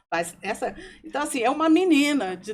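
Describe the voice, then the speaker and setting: The pace stays moderate. Pitch rises and falls very widely. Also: woman. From Brazil, Brasília. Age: 60s. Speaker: podcast guest. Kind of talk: personal testimony.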